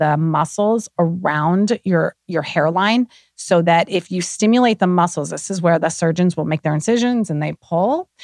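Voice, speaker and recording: A woman with a fairly low pitch and ordinary pitch variation talks in an unremarkable speaking voice. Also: dry, close sound with no echo. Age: 50s. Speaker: skincare entrepreneur. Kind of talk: casual chat.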